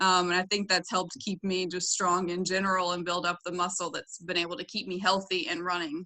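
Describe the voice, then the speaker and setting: A woman talks at a fairly quick pace with a slight Southern US accent and hardly any pauses. Her tone is bright and sharp, and her intonation is monotone and flat. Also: medium pitch for a woman. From US South (Florida, Tennessee). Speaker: doctoral student and gym member. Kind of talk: podcast interview. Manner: hesitant, many fillers.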